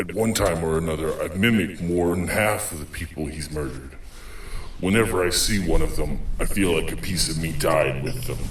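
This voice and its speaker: Over clear background noise, a man uses a put-on character voice at a very deep, low pitch and a fairly quick pace. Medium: audio drama. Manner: terse, gruff hard-boiled monologue.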